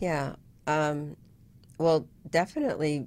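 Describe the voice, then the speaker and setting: Delivery is fairly slow, with fairly even intonation. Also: woman. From Vietnam, raised in US. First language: Vietnamese. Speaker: web consultant, entrepreneur. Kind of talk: casual interview.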